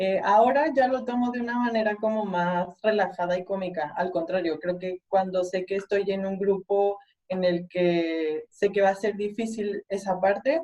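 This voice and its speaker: At a fairly slow pace with hardly any pauses, a woman uses a normal speaking voice at medium pitch with ordinary pitch variation. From Mexico. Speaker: mechanical engineer. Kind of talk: panel discussion.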